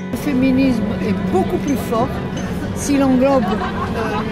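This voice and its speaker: Loud music plays behind a woman speaking at a fairly slow pace, in a dry sound with no echo. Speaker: feminist historian. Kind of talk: interview answer. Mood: calm, reflective. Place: street. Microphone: handheld.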